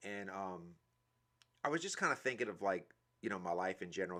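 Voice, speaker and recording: With a New Orleans accent, the voice has a bright, sharp tone on a very clean recording with a silent background. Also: man. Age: 40s. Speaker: motivational speaker. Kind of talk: live stream monologue. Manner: hesitant, many fillers; casual.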